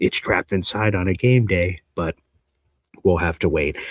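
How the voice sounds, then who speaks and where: With a dry, close sound and no echo, a man speaks at a moderate pace in a very deep, low pitch with ordinary pitch variation. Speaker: sports reporter and livestream host. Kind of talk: live show casual talk. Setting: home livestream. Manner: quieter than normal; lower energy than usual.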